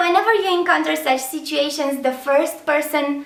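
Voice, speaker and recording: A woman's high-pitched voice with a Romanian accent, audible room echo and noticeable background noise. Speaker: language teacher. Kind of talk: tutorial.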